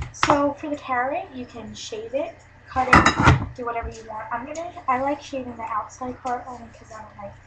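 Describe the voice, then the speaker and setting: Speech at a moderate pace with ordinary pitch variation and big swings in loudness comes over noticeable background noise. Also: woman. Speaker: cooking channel host. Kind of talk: cooking tutorial. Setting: grandma's house, webcam. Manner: casual, hesitant with fillers.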